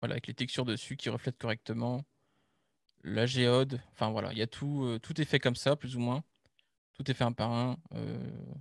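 Against a quiet background, a man speaks with fairly even intonation and long, frequent pauses, the sound dry with no echo. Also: moderate pace. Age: 20s. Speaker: game art student. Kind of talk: project presentation. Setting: online live stream. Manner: hesitant, many fillers. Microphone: video call.

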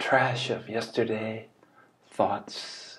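A somewhat breathy man at a very slow pace. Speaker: spiritual teacher. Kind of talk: reflective talk, dharma-style teaching. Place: home room. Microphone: webcam.

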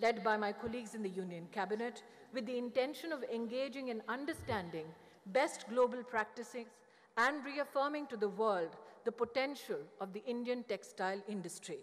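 This woman talks fairly quickly, and her pitch varies in an ordinary way. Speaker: government minister. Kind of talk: formal speech. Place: hall. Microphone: podium.

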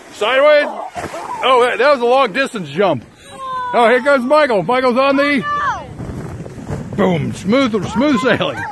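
Over crowd noise in the background, a man speaks at a very slow pace with lively intonation in a dry sound with no echo. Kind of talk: excited sports-style commentary. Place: open country. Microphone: phone near.

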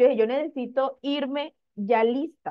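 Behind a woman's speech, the background stays quiet. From Colombian Caribbean coast, Magdalena. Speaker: sales director. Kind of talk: testimony. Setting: live video stream. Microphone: video call.

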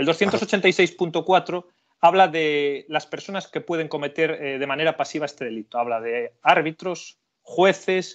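In a normal speaking voice, a man talks fairly slowly at a fairly high pitch. His pitch varies in an ordinary way over a quiet background. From Spain, Galicia (Carballiño). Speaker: criminal lawyer. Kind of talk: legal explanation in interview.

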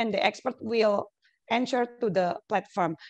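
A woman speaks with an Indonesian accent at a fairly slow pace over a quiet background. Her fairly high voice has lively intonation. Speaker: academic researcher; conference presenter. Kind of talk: conference presentation. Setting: video call. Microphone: headset.

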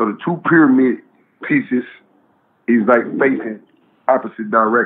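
A man speaks at a moderate pace and medium pitch with ordinary pitch variation, leaving long, frequent pauses. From San Francisco, Fillmore district. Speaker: rapper. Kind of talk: interview storytelling.

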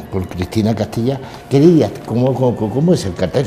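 A man is heard with audible room echo. Noticeable background noise runs behind him. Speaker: TV host of a religious brotherhood news program. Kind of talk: interview. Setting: inside a church. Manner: halting, many repetitions.

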